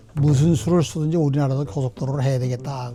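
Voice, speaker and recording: A man's fairly high voice with ordinary pitch variation, music playing in the background. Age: 80s+. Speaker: former government minister. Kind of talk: interview answer.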